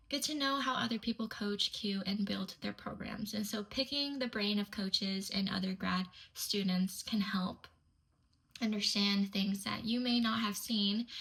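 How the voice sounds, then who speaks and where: A woman's fairly even intonation is heard against noticeable background noise. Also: medium pitch for a woman, moderate pace. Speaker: kinesiology student and strength coaching intern. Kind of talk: reading prepared answers aloud. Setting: recorded video submission. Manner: not loud.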